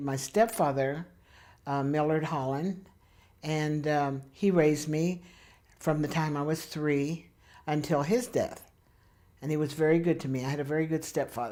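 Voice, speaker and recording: A woman with a very deep, low voice and a dark, mellow tone speaks at a moderate pace with ordinary pitch variation and long, frequent pauses. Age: 70s. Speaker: interviewee recalling life story. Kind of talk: oral history interview. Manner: hesitant with fillers.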